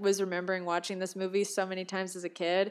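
Music plays in the background. A woman talks at a very fast pace. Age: 20s. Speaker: movie podcast co-reviewer. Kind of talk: casual chat. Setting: remote recording.

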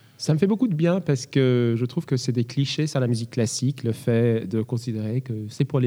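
This is a man with a normal speaking voice at a medium pitch. He talks at a fairly slow pace. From France. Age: 30s. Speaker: concert pianist. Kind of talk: interview. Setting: large echoing hall.

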